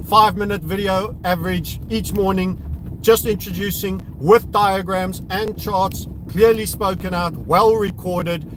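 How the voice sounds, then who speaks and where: Fairly slow, high-pitched male speech with audible room echo and noticeable background noise. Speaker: crypto trading youtuber. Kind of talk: live stream commentary while driving. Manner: casual, stumbling.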